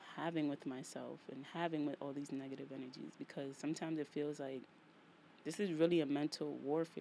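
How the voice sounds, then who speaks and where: In a strong New York accent, a woman talks at a moderate pace with a very deep, low pitch, a dark, mellow tone and monotone, flat intonation. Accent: thick New York. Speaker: podcast host. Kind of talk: solo podcast monologue. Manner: casual, repetitive.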